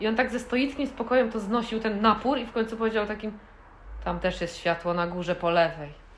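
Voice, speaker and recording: Over noticeable background noise, a woman with a fairly high voice speaks very fast. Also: ordinary pitch variation. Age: 30s. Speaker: podcast co-host. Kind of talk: casual chat.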